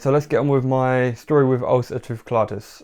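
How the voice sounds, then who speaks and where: Against a quiet background, a man speaks at a moderate pace and medium pitch with monotone, flat intonation. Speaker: podcast host. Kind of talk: personal story monologue. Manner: stiff, self-conscious delivery; hesitant with many fillers.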